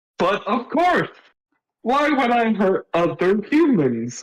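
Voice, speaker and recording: Someone uses a put-on character voice, fairly high in pitch and fairly slow in pace. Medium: actual play. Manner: overly friendly, halting.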